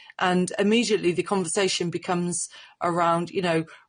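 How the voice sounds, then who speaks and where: A woman speaks in a strong Cornish accent at a moderate pace. Her pitch is fairly low, and the background is quiet. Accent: rich Cornish. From Cornwall. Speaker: social media commentator. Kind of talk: off-the-cuff commentary.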